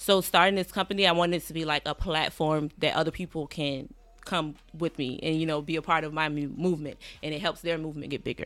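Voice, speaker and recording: With an American accent, a woman talks at a very fast pace in a very deep, low pitch with fairly even intonation, on a very clean recording with a silent background. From Savannah, Georgia (US South). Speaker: podcast producer and rapper. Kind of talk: casual interview.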